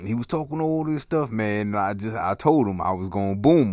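A man talks in a fairly low pitch with an animated tone and very wide pitch swings. The recording is very clean, and the background is silent. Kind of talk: angry rant. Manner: loud, indignant, fast and heated, with sarcastic asides; animated, profane, comedic exaggeration.

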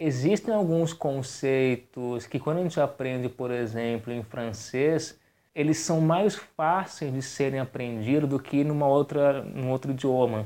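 A man talks fairly slowly with hardly any pauses, in a fairly high pitch with ordinary pitch variation. His tone is dark and mellow, and the recording is very clean with a silent background. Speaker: podcast host. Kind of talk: casual chat.

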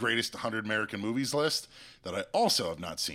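The pace is very fast. The intonation is lively. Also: man. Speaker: guest movie judge. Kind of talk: casual chat.

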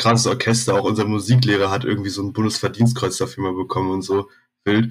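A man with a medium pitch and a somewhat breathy voice talks at a very fast pace with fairly even intonation, on a very clean recording with a silent background. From Berlin (Zehlendorf, West Berlin). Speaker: metal bassist. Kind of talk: casual chat.

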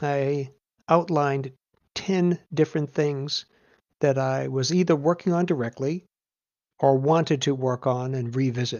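The speaker goes at a fairly slow pace, with long, frequent pauses. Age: 60s. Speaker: writer. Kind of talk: podcast monologue.

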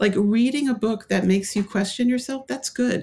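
A woman's somewhat breathy voice with a dark, mellow tone and ordinary pitch variation. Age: 60s. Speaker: author. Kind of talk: interview. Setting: remote interview from home.

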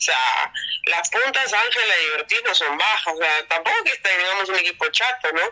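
Over noticeable background noise, a woman speaks fairly quickly at a medium pitch. Her intonation is lively and her loudness very even. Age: 30s. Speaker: professional volleyball player. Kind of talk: interview.

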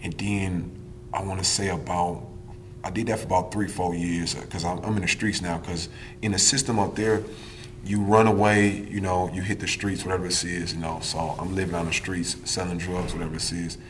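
In a room with audible echo and noticeable background noise, a man with an American accent speaks fairly quickly at a very deep, low pitch with fairly even intonation. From Wisconsin (Milwaukee). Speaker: prison inmate. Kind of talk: interview.

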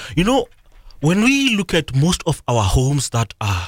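The sound is dry and close with no echo as a man speaks in a somewhat breathy voice. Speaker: motivational author and life coach. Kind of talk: radio interview. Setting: radio studio.

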